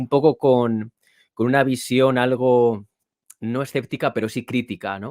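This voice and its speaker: A man's plain, everyday voice at a fairly slow pace, fairly even in intonation, in a very clean recording with a silent background and a dry, close sound with no echo. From Spain, Toro (Zamora, Castile and León). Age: 30s. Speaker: author and podcast host. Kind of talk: interview.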